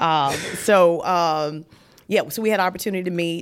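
A woman speaks with a Southern US accent in a very clean recording with a silent background. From Virginia. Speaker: widow sharing her grief story. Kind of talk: testimony.

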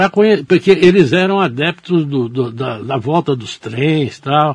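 The sound is dry and close, with no echo. A man speaks at a fairly slow pace with lively intonation. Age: 60s. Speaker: newspaper editor and journalist. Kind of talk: radio interview. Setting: radio studio.

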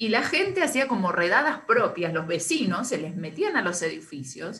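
A woman is speaking. She has an Argentine accent. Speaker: radio co-host. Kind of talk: casual chat.

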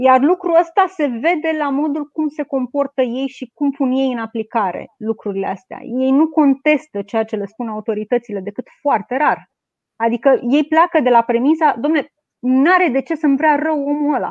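Speaking at a fairly quick pace, a woman with a Romanian accent has a high pitch and ordinary pitch variation. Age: young. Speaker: pharmacist and activist. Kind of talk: interview. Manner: halting.

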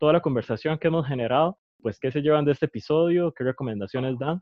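Pitched fairly high, a man speaks in a normal speaking voice with pitch that shifts in an ordinary way. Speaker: podcast host. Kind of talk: casual chat.

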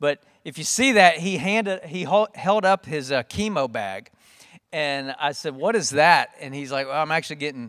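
Recorded very cleanly with a silent background and a dry, close sound with no echo, a man speaks in a normal speaking voice with fairly high pitch, lively intonation and a moderate pace. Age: 50s. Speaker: church men's ministry leader. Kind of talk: event hosting and announcements.

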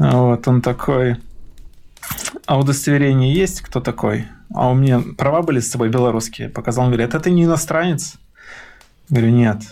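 A man talks at a fairly quick pace with long, frequent pauses, his medium-pitched voice dark and mellow, with very even loudness and ordinary pitch variation. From Belarus, Mogilev region village. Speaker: torture survivor, IT worker. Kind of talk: testimony. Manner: animated.

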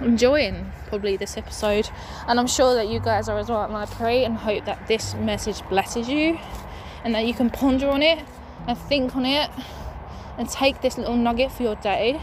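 Fairly high-pitched, a woman talks at a moderate pace with ordinary pitch variation. Noticeable background noise sits behind her. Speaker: podcast host. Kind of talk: fervent prayer; casual devotional chat. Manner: earnest, fervent, impassioned; warm, rambling, cheerful.

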